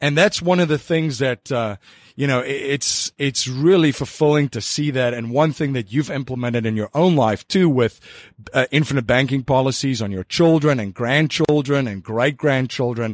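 A man with a normal speaking voice, medium pitch and moderate pace, in a dry, close sound with no echo. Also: ordinary pitch variation. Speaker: podcast host. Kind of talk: interview.

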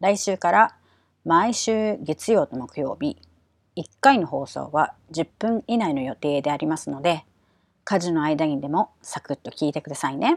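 This woman has a fairly low pitch and lively intonation, speaking at a fairly slow pace. The sound is dry and close with no echo, on a very clean recording with a silent background. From Japan. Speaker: English pronunciation coach and podcast host. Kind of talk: podcast monologue. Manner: animated.

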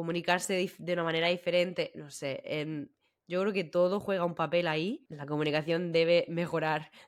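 This woman's voice sits fairly low and moves at a moderate pace. Her intonation is monotone and flat. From Spain, Murcia. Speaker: podcast co-host. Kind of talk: casual chat.

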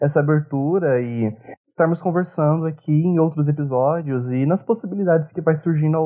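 In a normal speaking voice, a man speaks at a moderate pace with a fairly high pitch. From São Paulo interior, Brazil. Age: 20s. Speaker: podcast co-host, history student. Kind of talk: casual discussion.

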